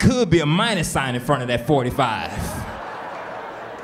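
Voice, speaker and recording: A man speaks at a fairly slow pace with a fairly high pitch and very wide pitch swings, against audible room echo and noticeable background noise. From Houston, Texas. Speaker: stand-up comedian. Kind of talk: stand-up. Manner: animated.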